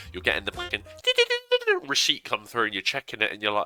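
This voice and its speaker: A man shouts in an energetic tone. The sound is dry and close, with no echo. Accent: British. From Britain. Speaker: YouTuber. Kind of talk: casual rant to camera. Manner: energetic, shouting.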